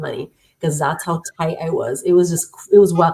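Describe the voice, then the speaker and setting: A woman's fairly low, somewhat breathy voice with a dark, mellow tone, an American accent and monotone, flat intonation. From Los Angeles, Southern California. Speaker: tech worker, guest speaker. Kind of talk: interview, personal story. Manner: fast.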